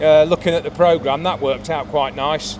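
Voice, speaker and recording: Noticeable background noise runs behind speech delivered with lively intonation. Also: man. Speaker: sports photographer. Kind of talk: casual vlog talk to camera. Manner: halting, many fillers.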